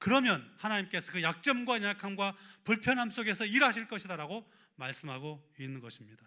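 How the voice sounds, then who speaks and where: The voice is raised and projected, moving at a fairly quick pace with very wide pitch swings and big swings in loudness. The recording is very clean, with a silent background. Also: man, high pitch for a man. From rural Korea. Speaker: pastor. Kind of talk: sermon.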